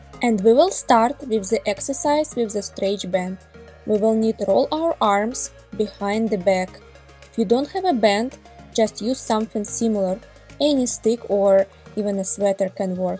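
With a Russian accent and ordinary pitch variation, a woman speaks at a moderate pace in a dry, echo-free recording with faint music in the background. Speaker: ballet teacher. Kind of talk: workout instruction.

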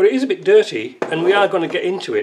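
With noticeable background noise around him, a man talks at a fairly slow pace. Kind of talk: tutorial. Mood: cheerful, relaxed. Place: workshop. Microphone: camera far.

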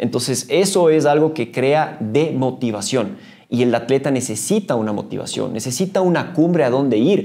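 Over a quiet background, a man with a dark, mellow tone speaks at a moderate pace with lively intonation. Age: 40s. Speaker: mountaineer and trail runner; podcast guest. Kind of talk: interview. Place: meeting room.

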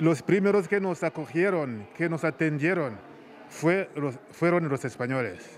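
A man's fairly high voice at a fairly slow pace, ordinary pitch variation, and light background noise. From Rwanda. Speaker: priest. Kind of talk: interview testimony. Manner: halting. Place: hall. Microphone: handheld.

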